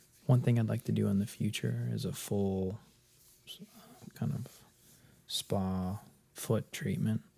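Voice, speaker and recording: Soft-spoken and calm, a man talks at a fairly slow pace with a fairly low pitch, very wide pitch swings, a dark, mellow tone and long, frequent pauses. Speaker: massage ASMR creator. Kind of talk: soft-spoken ASMR massage commentary. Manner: soft-spoken, calm.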